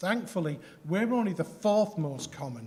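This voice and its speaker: Speaking at a moderate pace with a Yorkshire accent, a man uses lively intonation while audible room echo surrounds his voice. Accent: Yorkshire accent, noticeable. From Yorkshire, northern England. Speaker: health tech company founder. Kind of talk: conference presentation. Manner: hesitant, many fillers.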